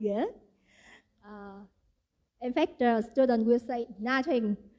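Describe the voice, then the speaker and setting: A woman's high voice with a dark, mellow tone and a Vietnamese accent, at a very slow pace. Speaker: event organizer. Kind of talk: welcome speech.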